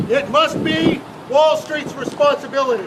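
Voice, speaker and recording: A loud man with an extremely high pitch, speaking at a fairly slow pace over noticeable background noise. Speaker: protester. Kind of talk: protest speech. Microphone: no microphone.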